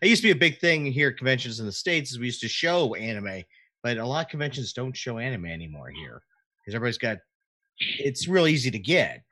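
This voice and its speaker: A man with an American accent talks at a very fast pace, at a medium pitch with very wide pitch swings. His tone is bright and sharp, with vocal fry and big swings in loudness. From Florida. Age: 40s. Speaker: podcast co-host. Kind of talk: casual chat. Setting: live stream.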